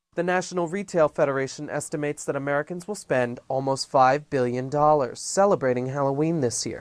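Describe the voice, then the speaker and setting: An ordinary speaking voice moves at a fairly quick pace with hardly any pauses. The pitch variation is ordinary. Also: man, fairly high pitch for a man. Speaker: broadcast news reporter. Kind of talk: TV news report narration.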